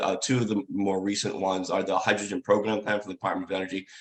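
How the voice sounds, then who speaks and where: Very fast talk from a man, his intonation fairly even. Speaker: government chief scientist. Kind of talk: lecture. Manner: halting.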